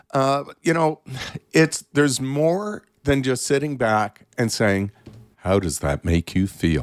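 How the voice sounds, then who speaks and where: Over music in the background, the speaker goes at a very slow pace with very wide pitch swings, and the sound is dry and close with no echo. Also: man. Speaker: therapist. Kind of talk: interview.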